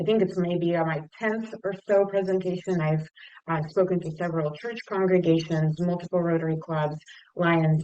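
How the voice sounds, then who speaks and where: A woman at a moderate pace with fairly even intonation, over noticeable background noise. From Russia. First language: Russian. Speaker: nonprofit leader. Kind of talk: talk to a service club. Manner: halting.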